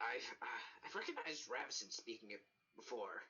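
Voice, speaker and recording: A man's raspy put-on character voice at an extremely high pitch and a fairly quick pace. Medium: actual play. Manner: hesitant, halting.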